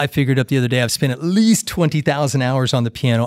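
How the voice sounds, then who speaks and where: Speaking very fast with an American accent, a man uses ordinary pitch variation on a very clean recording with a silent background. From Kansas, US Midwest. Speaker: music teacher and jazz musician. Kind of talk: casual interview conversation. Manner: conversational, halting with repetitions.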